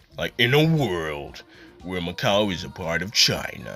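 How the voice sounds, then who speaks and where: Putting on a character voice, a man speaks at a moderate pace in a very deep, low pitch with very wide pitch swings. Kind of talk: dramatic.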